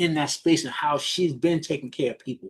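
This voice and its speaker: Speaking in a New York accent, a man talks at a fairly quick pace with a fairly high pitch. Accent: New York City (Bronx). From New York, the Bronx. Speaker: business mentor. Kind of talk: coaching talk on a group call. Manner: fast talker.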